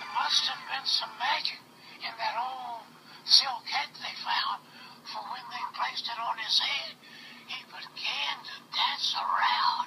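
The speech moves at a very slow pace. Background noise is noticeable. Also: man. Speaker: grandfather reading to grandchild. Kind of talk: storybook read-aloud. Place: home room. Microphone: phone near.

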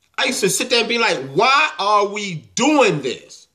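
A man speaks in a raised, projected voice, his pitch swinging very widely. The background is quiet. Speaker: football fan. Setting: home video, monologue to camera while game is on. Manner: stammering and halting when upset, stumbling over words. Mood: angry, exasperated.

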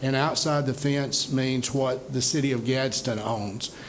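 A man at a fairly slow pace with fairly even intonation, amid noticeable background noise and audible room echo. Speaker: economic development official. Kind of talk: presentation. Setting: city council meeting.

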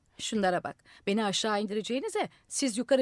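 Ordinary pitch variation in plain reading aloud.

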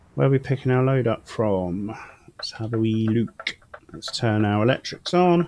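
The intonation is lively. Noticeable background noise can be heard. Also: man, moderate pace. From United Kingdom. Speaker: gaming streamer. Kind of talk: live gameplay commentary. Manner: casual and chatty.

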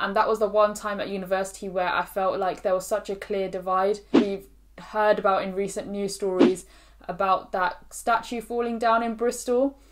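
Her intonation fairly even, a woman speaks at a moderate pace. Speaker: student vlogger. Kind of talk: casual vlog chat. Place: home room.

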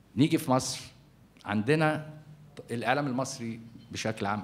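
The intonation here is lively. A man delivers it at a moderate pace. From Egypt. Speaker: journalist and newspaper editor; journalist, newspaper editor. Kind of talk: symposium panel talk. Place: hall. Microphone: podium.

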